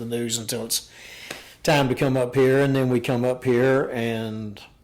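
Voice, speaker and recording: With noticeable background noise behind him, a man speaks at a moderate pace. His intonation is monotone and flat at a medium pitch. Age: 60s. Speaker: retiree, gym member. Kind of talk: casual chat.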